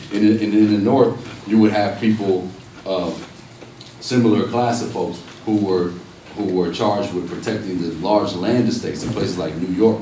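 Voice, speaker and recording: Speaking with an American accent at a moderate pace, a man uses a fairly low pitch and fairly even intonation, with audible room echo and noticeable background noise. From Los Angeles, California (Watts, Compton). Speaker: professor and activist. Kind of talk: public talk.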